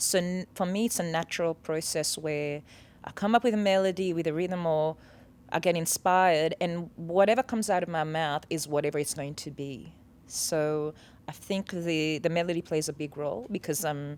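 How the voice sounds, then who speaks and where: At a moderate pace, a woman with a Seychellois accent talks at a fairly low pitch with ordinary pitch variation. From Seychelles. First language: Seychelles Creole. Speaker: singer-songwriter. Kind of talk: interview.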